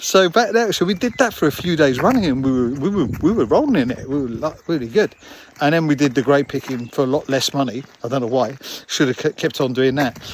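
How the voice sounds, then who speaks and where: Speaking fairly quickly with a London accent, a man uses lively intonation in a fairly high voice. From London, England. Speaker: vlogger. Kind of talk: casual storytelling. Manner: halting, many fillers.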